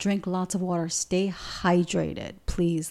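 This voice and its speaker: A woman's fairly low, dark and mellow voice, monotone and flat, on a very clean recording with a silent background. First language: Spanish. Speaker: spiritual teacher and podcast host. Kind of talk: spiritual talk, monologue.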